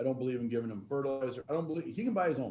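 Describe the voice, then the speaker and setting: With music in the background, a man with an American accent speaks at a medium pitch. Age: 50s. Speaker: farmer. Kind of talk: panel talk.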